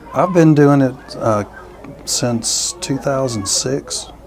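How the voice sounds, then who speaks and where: A man's voice is heard. Behind it runs noticeable background noise. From southern Kentucky, near Tennessee. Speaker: reenactor gunsmith volunteer. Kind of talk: interview.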